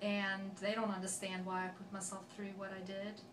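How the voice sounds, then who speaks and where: A woman speaks with a Swedish accent at a moderate pace and medium pitch. There is audible room echo and noticeable background noise. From Sweden, Gothenburg area (west coast). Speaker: accent sample speaker. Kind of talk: personal story monologue.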